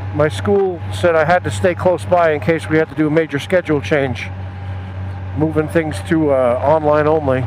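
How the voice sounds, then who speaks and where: At a moderate pace, a man speaks with very wide pitch swings over light background noise. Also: dry sound with no echo. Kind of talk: casual vlog chat. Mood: sad, then wry humor. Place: motorbike. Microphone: helmet.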